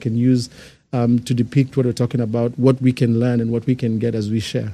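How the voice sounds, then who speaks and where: The voice has a dark, mellow tone and a Kenyan accent. It moves at a very fast pace with fairly even intonation. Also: man. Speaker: church outreach team member. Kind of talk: casual chat.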